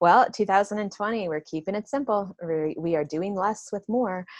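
In an unremarkable speaking voice, a woman talks at a moderate pace with ordinary pitch variation, and the sound is dry and close with no echo. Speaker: online business consultant, occupational therapist. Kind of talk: interview conversation.

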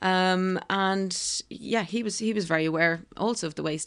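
In a quiet background, a woman talks with an Irish accent. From Ireland, County Kildare. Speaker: restaurant co-founder. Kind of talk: interview conversation. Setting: at home on a houseboat.

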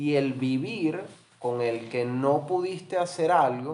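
A man's voice, showing ordinary pitch variation, comes with audible room echo. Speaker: psychologist and business consultant. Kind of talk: casual interview chat.

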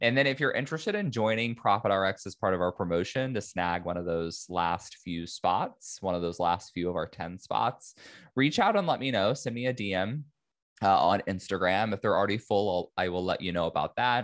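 Over a quiet background, a man talks at a moderate pace in a fairly low pitch with ordinary pitch variation. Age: 30s. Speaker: podcast host, lawyer and tax educator. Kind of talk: solo business podcast monologue. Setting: home office recording.

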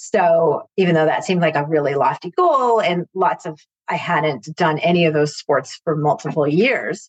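Fairly low-pitched woman's voice with ordinary pitch variation at a moderate pace. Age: 50s. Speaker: marketing professional and client. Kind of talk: casual chat.

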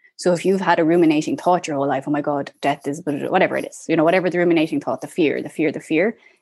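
A woman's fairly low voice in an Irish accent, with ordinary pitch variation and a quiet background. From Ireland. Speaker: death doula. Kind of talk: interview.

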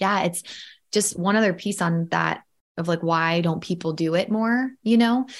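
At a moderate pace, a woman with a plain, everyday voice and medium pitch speaks with ordinary pitch variation on a very clean recording with a silent background. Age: 30s. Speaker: filmmaker and storytelling coach. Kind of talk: casual interview chat.

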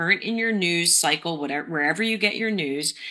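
In a plain, everyday voice, a woman speaks with lively intonation. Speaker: podcast host. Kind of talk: casual conversation.

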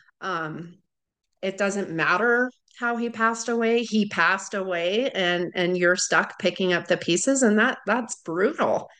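An unremarkable speaking voice, this woman talks at a fairly slow pace and medium pitch. Her pitch variation is ordinary, and the background is quiet. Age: 30s. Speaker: widowed mother. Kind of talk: interview.

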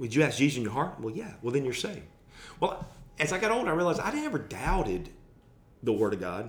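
Speaking very fast with long, frequent pauses, a man with an American accent uses a fairly high pitch and very wide pitch swings amid audible room echo. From US South. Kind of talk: casual chat.

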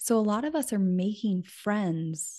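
With an American accent, a woman speaks at a medium pitch in a dark, mellow, somewhat breathy tone. Her pitch varies in an ordinary way over a quiet background. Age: 30s. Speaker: friendship author and podcaster. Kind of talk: interview.

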